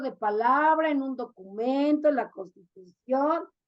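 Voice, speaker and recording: The voice has an animated tone and moves at a fairly slow pace. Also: woman. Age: 60s. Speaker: sexologist and therapist. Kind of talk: interview.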